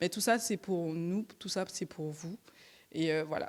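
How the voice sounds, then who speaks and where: A woman with a fairly low pitch talks at a fairly slow pace, her pitch variation ordinary. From Martinique. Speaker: regional climate plan officer. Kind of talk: brief self-introduction at public meeting.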